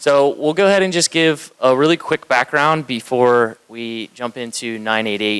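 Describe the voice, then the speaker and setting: This man is loud, with lively intonation and a moderate pace. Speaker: county communications manager presenting. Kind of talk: conference presentation.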